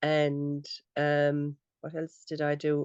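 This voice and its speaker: A woman with a Limerick accent and a very deep, low pitch is heard in a dry, close recording with no echo. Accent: Irish (Limerick). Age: 60s. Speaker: beekeeper. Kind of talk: casual chat.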